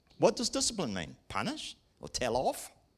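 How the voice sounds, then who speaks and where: A man talks at a fairly quick pace in a very clean recording with a silent background. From England. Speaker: preacher. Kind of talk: sermon. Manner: lively.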